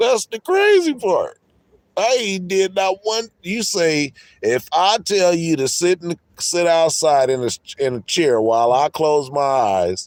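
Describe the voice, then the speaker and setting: A loud, high-pitched man's voice with very wide pitch swings at a fairly slow pace, dry and close with no echo, in a very clean recording with a silent background. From San Diego, California. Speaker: livestreamer. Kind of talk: heated argument.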